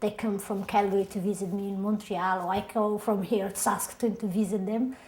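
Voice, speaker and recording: Noticeable background noise sits behind the recording. A woman talks fairly quickly in a flat monotone. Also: medium pitch for a woman. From Somalia (Mogadishu). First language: Somali. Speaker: immigrant interviewee, singer-songwriter. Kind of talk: oral history interview.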